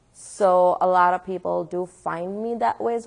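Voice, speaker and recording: A woman with a Pakistani accent talks against a quiet background. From Pakistan, Karachi. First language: Urdu. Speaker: atheist activist speaker. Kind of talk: public talk with Q&A. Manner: animated.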